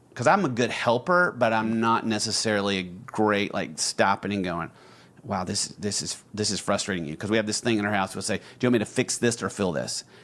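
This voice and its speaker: A man with an Alabama accent talks at a fairly quick pace with ordinary pitch variation. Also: fairly low pitch for a man. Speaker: podcast co-host. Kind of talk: casual chat.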